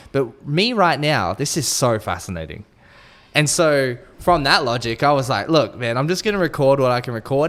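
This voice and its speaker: This is a plain, everyday voice from a man at a medium pitch. He talks at a moderate pace with lively intonation. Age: 20s. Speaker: vintage clothing business owner and content creator. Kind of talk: interview. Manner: conversational, slightly repetitive with restarts.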